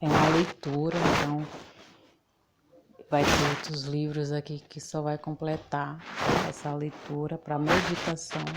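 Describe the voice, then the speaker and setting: A soft-spoken woman's very deep, low voice, flat and monotone, at a fairly slow pace with long, frequent pauses. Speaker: lay preacher. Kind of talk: sermon.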